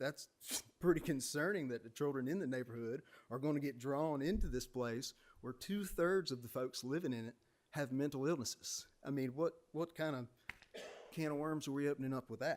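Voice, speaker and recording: Speaking at a fairly quick pace, a man with a South Carolina accent uses a fairly high pitch and ordinary pitch variation. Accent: Southern US (South Carolina). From South Carolina, Aiken County. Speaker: public commenter. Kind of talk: public comment at meeting. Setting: city planning commission meeting.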